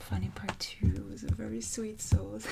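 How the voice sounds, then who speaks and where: A woman speaks softly at a fairly slow pace. Her tone is calm. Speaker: coloring artist and ASMR creator. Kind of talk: calm ASMR talk to camera. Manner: calm, soft-spoken.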